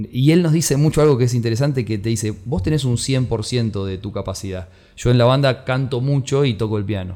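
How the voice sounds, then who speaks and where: This man speaks at a fairly quick pace with hardly any pauses. His medium-pitched voice has a dark, mellow tone and ordinary pitch variation. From Argentina, Greater Buenos Aires. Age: 40s. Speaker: musician and music producer. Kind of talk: casual interview.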